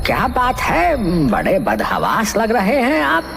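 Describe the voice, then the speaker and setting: Over clear background noise, a man does a cartoonish character voice at high pitch and a moderate pace. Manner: hesitant, halting, sly.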